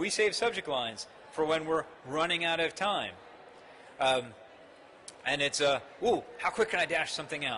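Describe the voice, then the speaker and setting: A man's animated, fairly high-pitched voice with an American accent, with long, frequent pauses and noticeable background noise. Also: lively intonation, moderate pace. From United States. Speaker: marketing executive. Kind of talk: conference talk. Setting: stage with audience.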